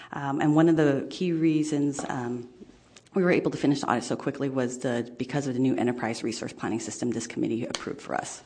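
Against noticeable background noise, a woman talks at a very fast pace. Her voice is very deep and low, with ordinary pitch variation. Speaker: public agency finance director. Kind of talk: formal presentation at public meeting. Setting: government committee meeting room.

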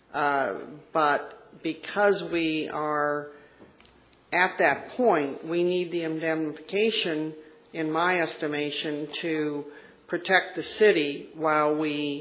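Over noticeable background noise, a woman speaks at a very slow pace with a very deep, low pitch and fairly even intonation. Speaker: presiding chair of city council and housing authority. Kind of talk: formal public meeting. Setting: council chambers meeting.

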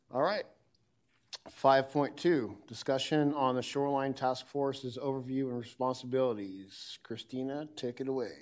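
This man talks at a moderate pace and a medium pitch. He has a plain, everyday voice. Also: fairly even intonation. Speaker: committee chairperson running meeting. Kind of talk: formal meeting, casual tone. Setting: public committee meeting room.

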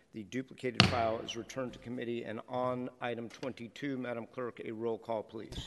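Monotone and flat, a man talks with hardly any pauses. Noticeable background noise runs underneath. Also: medium pitch for a man. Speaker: board president chairing city council meeting. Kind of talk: formal public meeting. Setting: legislative chamber in city hall. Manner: formal.

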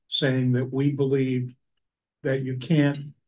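The voice is somewhat breathy, with monotone, flat intonation at a moderate pace. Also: man. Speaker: citizens oversight committee member. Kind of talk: committee meeting discussion. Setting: hybrid public meeting room.

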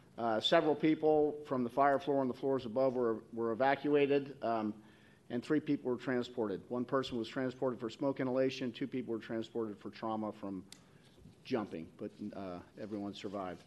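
A man speaks at a fairly quick pace in a normal speaking voice. His pitch is medium, with ordinary variation. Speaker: fire department deputy chief. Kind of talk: formal report at public meeting. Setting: public commission meeting room.

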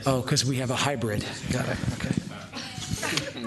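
Noticeable background noise runs under a man who speaks at a fairly slow pace. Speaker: commission president chairing a public meeting. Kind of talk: formal meeting procedure mixed with casual asides.

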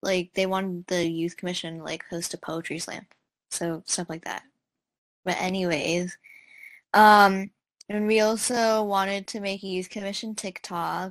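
With a medium pitch and fairly even intonation, a woman speaks at a fairly slow pace with long, frequent pauses, in a dry, close recording with no echo. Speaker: youth commissioner. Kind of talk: casual meeting update. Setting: video call.

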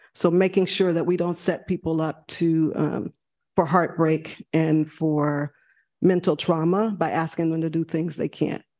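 A woman with a fairly low pitch and a dark, mellow tone speaks in a monotone, flat way at a fairly slow pace. The sound is dry and close with no echo, over a quiet background. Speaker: city department director. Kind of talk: public meeting remarks.

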